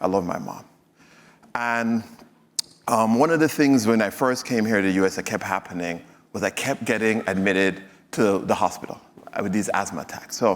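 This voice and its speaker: In a Jamaican accent, a man talks at a moderate pace with long, frequent pauses, his fairly low pitch showing ordinary variation. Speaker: physician and health executive speaker. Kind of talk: stage presentation. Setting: stage with audience. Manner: hesitant, many fillers.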